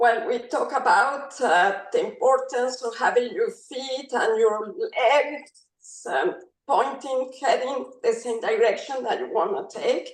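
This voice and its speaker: A woman with a non-native accent speaks in a high voice at a very slow pace. Her pitch swings very widely and she hardly pauses. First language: not English. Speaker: instructor trainee. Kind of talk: online class discussion. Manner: halting.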